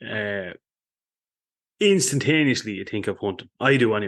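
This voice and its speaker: A man with an Irish accent speaks with lively intonation over a quiet background. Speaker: podcast host, hunting writer. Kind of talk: scripted intro; casual chat.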